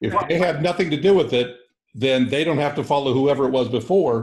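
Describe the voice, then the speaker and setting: A man speaks at a fairly quick pace in a normal speaking voice, medium in pitch with ordinary pitch variation. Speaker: co-host of financial literacy class. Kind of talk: casual chat.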